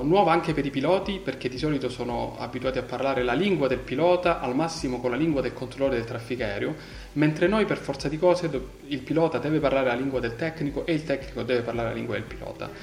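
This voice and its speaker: A man at a very fast pace, medium in pitch with ordinary variation, over noticeable background noise. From Calabria, southern Italy (Crotone). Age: 30s. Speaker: telecommunications engineer. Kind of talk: interview. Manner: hesitant, with fillers.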